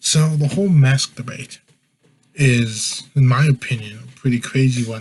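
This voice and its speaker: A man speaks at a fairly slow pace and a medium pitch. His voice is somewhat breathy, with fairly even intonation. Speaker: podcast host. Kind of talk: casual podcast monologue. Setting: live stream at home.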